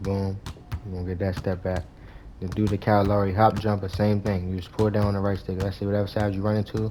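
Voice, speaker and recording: A man talks at a very fast pace. His pitch is fairly low and his intonation flat and monotone. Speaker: gaming YouTuber. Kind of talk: gameplay tutorial.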